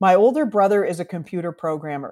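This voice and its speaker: A woman with a Canadian accent and an unremarkable speaking voice talks at a medium pitch and a fairly quick pace with lively intonation. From Canada, Toronto. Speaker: bartender and bitters company founder. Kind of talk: interview. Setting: remote call over the internet.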